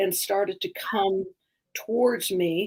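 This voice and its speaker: Speaking very slowly, a woman with an American accent keeps her intonation fairly even. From Utah. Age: 60s. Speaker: storyteller. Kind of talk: testimony. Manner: halting.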